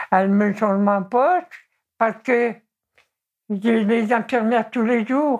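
At a very slow pace, a woman talks in a fairly high pitch with fairly even intonation. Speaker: ill elderly mother of an activist. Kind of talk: interview testimony.

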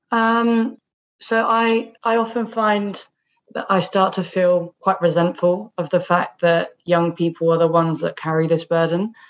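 Speaking with a southern English accent, a woman talks at a fairly slow pace with medium pitch and ordinary pitch variation. The background is quiet. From southeast England (Kent). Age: 20s. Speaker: climate activist. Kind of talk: interview conversation.

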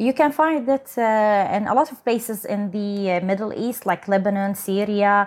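A woman speaks with an Arabic accent. Her pace is fairly slow. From Saudi Arabia. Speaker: barista champion. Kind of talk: casual interview chat. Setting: home storage room, remote recording.

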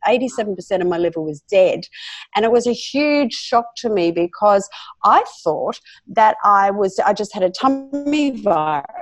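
In an Australian accent, a woman with a fairly high pitch speaks at a fairly slow pace with lively intonation. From South Australia. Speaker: author, speaker, health professional. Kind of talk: interview, conversational.

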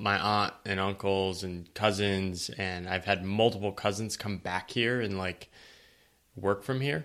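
A man with an American accent and an unremarkable speaking voice talks fairly slowly in a fairly low pitch with fairly even intonation, on a very clean recording with a silent background. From US Northeast, eastern Connecticut. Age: 30s. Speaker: writer on work and life. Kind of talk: podcast interview.

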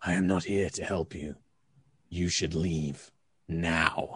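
In a put-on character voice, a man speaks very deep and low, raspy and at a fairly slow pace.

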